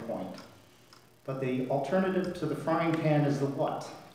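Audible room echo surrounds a man whose pitch varies in an ordinary way. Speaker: priest. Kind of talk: sermon. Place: church.

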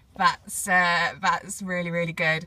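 A woman speaks at a medium pitch. Her tone is bright and sharp.

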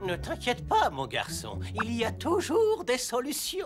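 A cartoonish character voice with very wide pitch swings at a fairly slow pace, over faint music in the background. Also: man, extremely high pitch for a man.

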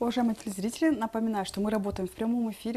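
Her voice has a dark, mellow tone and ordinary pitch variation. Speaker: TV host. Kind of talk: TV interview. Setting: studio. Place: studio.

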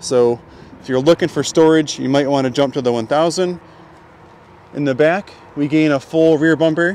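A man speaks at a fairly quick pace with ordinary pitch variation. The sound is dry with no echo, with light background noise. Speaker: dealership video host. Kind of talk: product walk-around commentary. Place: street. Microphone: phone near.

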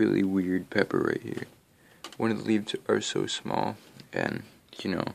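A man speaks quietly at a moderate pace. He leaves long, frequent pauses. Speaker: home gardening vlogger. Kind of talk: casual video tour. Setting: at home at night. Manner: speaking low, quiet; hesitant, many fillers. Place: home room. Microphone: phone near.

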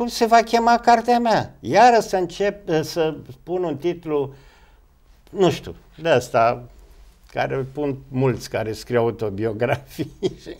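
Speaking at a very slow pace, a man has a fairly high pitch. His voice moves through very wide pitch swings. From Romania. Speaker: actor. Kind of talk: interview. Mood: reflective, at times scornful. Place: studio.

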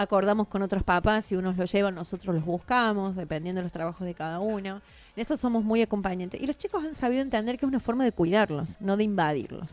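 Hardly pausing, a woman speaks at a very fast pace. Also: medium pitch for a woman, ordinary pitch variation. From Argentina, Córdoba province. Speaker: TV journalist and presenter; TV journalist, presenter. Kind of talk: radio interview. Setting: radio studio. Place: studio.

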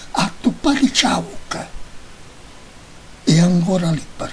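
Whispered words come very slowly while noticeable background noise plays behind them. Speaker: poetry reader. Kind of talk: poetry reading.

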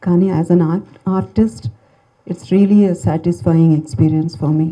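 Somewhat breathy and dark, mellow in tone, a woman with a fairly low pitch talks with lively intonation over a quiet background. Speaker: film actress. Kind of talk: public speech at film event. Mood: warm, grateful, soft-spoken. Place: hall. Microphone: handheld.

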